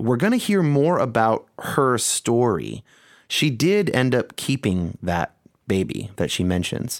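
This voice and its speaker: On a very clean recording with a silent background, a man speaks at a fairly slow pace with a medium pitch and very wide pitch swings. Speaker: podcast host. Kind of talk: conversational podcast narration.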